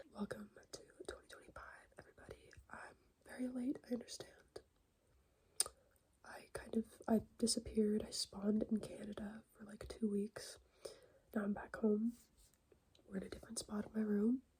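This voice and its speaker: Soft-spoken, a woman talks at a moderate pace with long, frequent pauses and big swings in loudness. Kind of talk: soft-spoken ASMR catch-up talk.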